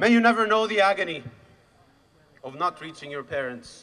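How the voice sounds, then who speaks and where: A man with an Arabic accent speaks in a raised, projected voice over noticeable background noise. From Khan Younis, Gaza, Palestine. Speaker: activist. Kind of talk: rally speech. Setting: outdoor rally with crowd. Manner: loud.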